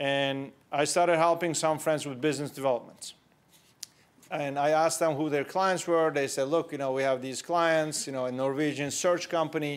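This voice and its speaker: At a moderate pace, a man with a Turkish accent speaks at a fairly high pitch with fairly even intonation. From Turkey (Istanbul). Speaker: entrepreneur. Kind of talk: conference talk. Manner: conversational.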